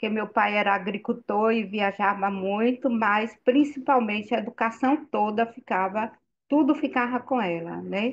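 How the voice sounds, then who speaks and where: A woman talks in a normal speaking voice at a fairly slow pace. Her pitch is fairly high, with ordinary variation. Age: 60s. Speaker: participant in spiritual group chat. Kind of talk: online group discussion. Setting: video call.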